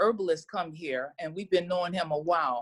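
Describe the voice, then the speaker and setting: A woman speaks in an ordinary speaking voice. Her pitch is medium, with ordinary pitch variation. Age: 60s. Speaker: herbal wellness practitioner. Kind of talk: casual chat.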